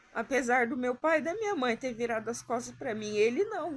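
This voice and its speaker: She is a woman with a high pitch and lively intonation. Her pace is moderate. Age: 30s. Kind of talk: personal testimony to camera.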